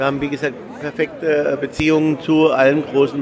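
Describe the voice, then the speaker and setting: A man speaks at a moderate pace with a fairly high pitch and a flat, monotone delivery while crowd noise carries on behind him. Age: 40s. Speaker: theme park executive. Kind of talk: interview.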